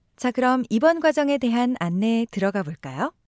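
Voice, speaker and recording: In a dry, close sound with no echo, a woman with a fairly high pitch speaks at a moderate pace, her dark, mellow tone moving through very wide pitch swings. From South Korea. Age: 20s. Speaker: voice actor. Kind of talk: e-learning narration.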